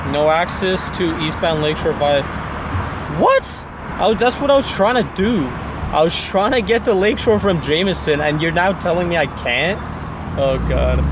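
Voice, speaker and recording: A man talks at a moderate pace over noticeable background noise. The sound is dry, with no echo. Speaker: driver vlogger. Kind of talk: casual vlog chat. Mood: playful, mildly annoyed. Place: car. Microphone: camera far.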